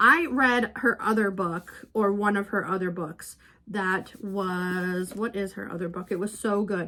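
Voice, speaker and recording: A woman with a medium pitch speaks in a bright, sharp tone. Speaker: book vlogger. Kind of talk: casual vlog. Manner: fast; animated.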